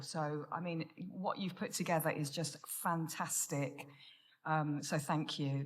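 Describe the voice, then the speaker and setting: A woman speaks with an English accent and a bright, sharp tone. Audible room echo is heard around her. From Menorca, Spain, English family. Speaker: recovery speaker. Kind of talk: testimony. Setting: stage with audience.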